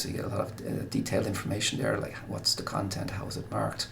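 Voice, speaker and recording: A man with an Irish accent is heard with audible room echo and noticeable background noise. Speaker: guidance counsellor. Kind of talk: recorded presentation. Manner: fast.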